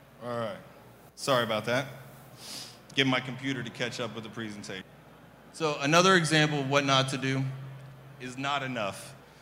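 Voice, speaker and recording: Over audible room echo, a man with an American accent talks at a fairly quick pace in a bright, sharp tone, his medium pitch showing ordinary variation, with long, frequent pauses. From US Midwest (Kansas City). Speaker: trade show presenter. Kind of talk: conference presentation. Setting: stage with audience. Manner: hesitant, many fillers.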